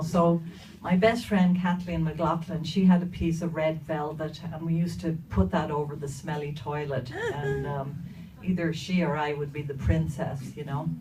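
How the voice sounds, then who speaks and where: A woman with a Dublin accent and a very deep, low pitch speaks at a fairly slow pace, with audible room echo and noticeable background noise. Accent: Dublin Irish. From Ireland, inner-city Dublin. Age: 60s. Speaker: storyteller. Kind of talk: personal storytelling to an audience. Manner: hesitant, many fillers.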